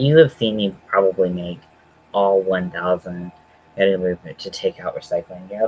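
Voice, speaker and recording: Noticeable background noise sits behind a man speaking at a fairly slow pace, with a dry, close sound and no echo. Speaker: crochet livestreamer. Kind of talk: casual livestream tutorial.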